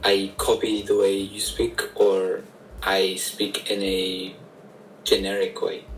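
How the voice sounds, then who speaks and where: There is noticeable background noise as a man talks at a very slow pace. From Northern Ireland. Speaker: stranger on video chat. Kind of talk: casual chat.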